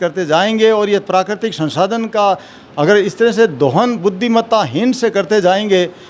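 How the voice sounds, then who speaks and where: A man with a high-pitched voice and ordinary pitch variation speaks over noticeable background noise. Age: 60s. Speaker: retired civil servant. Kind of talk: interview.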